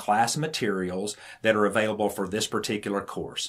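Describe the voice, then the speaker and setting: A man is speaking. He has a Southern US accent. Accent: Southern drawl. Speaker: irrigation instructor. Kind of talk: tutorial.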